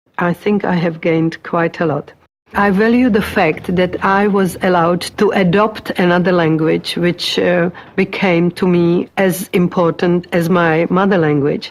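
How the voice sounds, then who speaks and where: In a Czech accent, a woman with a fairly low pitch speaks at a fairly slow pace with fairly even intonation. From Czechoslovakia. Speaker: migrant interviewee, retired teacher. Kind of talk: oral history interview. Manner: halting.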